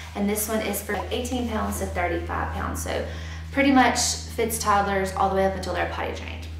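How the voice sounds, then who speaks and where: A woman talks with audible room echo and light background noise. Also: moderate pace. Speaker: YouTuber, mother. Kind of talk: product review tutorial. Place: home room.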